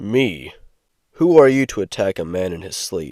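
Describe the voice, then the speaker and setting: In a very clean recording with a silent background, a man does a put-on character voice that is growling and raspy, at a moderate pace and fairly low pitch. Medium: read story. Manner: curt, stern.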